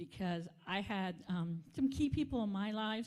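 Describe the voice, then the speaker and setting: Dark, mellow female speech with a somewhat breathy edge. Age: older. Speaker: vice mayor. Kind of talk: speech at community event. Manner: halting.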